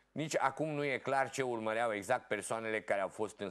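A man's voice with ordinary pitch variation against a quiet background. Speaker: local TV show host. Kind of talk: reading news articles aloud. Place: studio.

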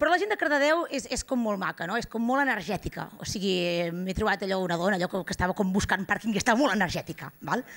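A woman talks at a very fast pace with hardly any pauses at a medium pitch. The background is quiet. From Girona, Catalonia; Catalonia. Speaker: stand-up comedian. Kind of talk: stand-up. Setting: stage with live audience. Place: stage. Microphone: handheld.

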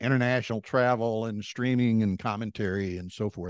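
With a Texan accent, a man speaks at medium pitch and a moderate pace with ordinary pitch variation, the sound dry with no echo over a quiet background. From Texas, Beaumont; Texas. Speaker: backgammon tournament director and commentator; commentator. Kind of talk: casual interview. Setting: video call. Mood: friendly, relaxed storytelling. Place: home room. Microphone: handheld.

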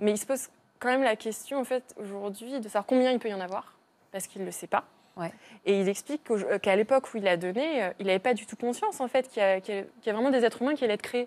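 A woman's fairly high voice at a very fast pace. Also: ordinary pitch variation. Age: 20s. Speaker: donor-conceived person; guest. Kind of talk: testimony. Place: studio.

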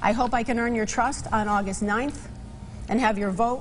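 The speech holds a moderate pace and fairly even intonation. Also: woman, fairly high pitch for a woman.

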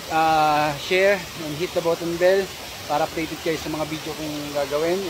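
Noticeable background noise sits behind this man. His intonation stays flat and monotone. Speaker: hiking vlogger. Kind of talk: casual vlog chat. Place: forest. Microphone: phone near.

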